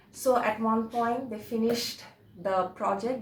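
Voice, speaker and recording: A woman talks at a fairly slow pace with fairly even intonation. Audible room echo and noticeable background noise are present. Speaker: religious video presenter. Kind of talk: informal religious talk to camera. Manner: halting, many fillers.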